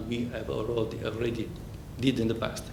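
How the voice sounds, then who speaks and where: A man with an Italian accent at a moderate pace, with audible room echo and noticeable background noise. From Italy. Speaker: accountant. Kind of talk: conference presentation. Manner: halting, with many fillers.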